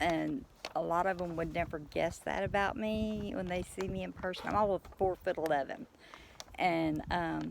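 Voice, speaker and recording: A woman with an East Texas accent at a fairly slow pace. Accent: East Texas Southern US. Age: 50s. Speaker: farmer, retired truck driver. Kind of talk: casual vlog monologue.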